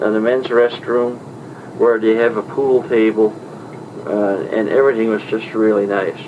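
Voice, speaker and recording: Monotone, flat male speech against noticeable background noise. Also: medium pitch for a man, moderate pace. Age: 60s. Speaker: traveler recounting a trip. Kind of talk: spoken diary report. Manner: halting.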